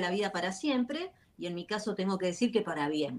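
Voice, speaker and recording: Clear background noise fills the recording. A woman talks over it. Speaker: author, life coach. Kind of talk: interview. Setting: video call.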